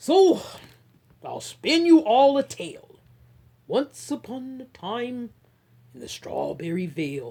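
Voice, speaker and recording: A woman's put-on character voice, high-pitched and fairly slow, broken by long, frequent pauses. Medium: read story. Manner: loud, grumbling.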